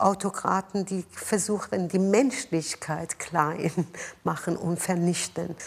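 Very slowly, a woman talks at a medium pitch. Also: ordinary pitch variation. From Iran, Tehran. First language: Persian (speaking German). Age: 50s. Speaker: mayor and politician. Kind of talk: interview. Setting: office.

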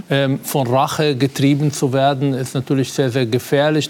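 A man talks at a moderate pace in a fairly high pitch with monotone, flat intonation. Noticeable background noise runs behind him. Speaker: psychologist. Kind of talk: TV talk show debate. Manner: halting, many fillers.

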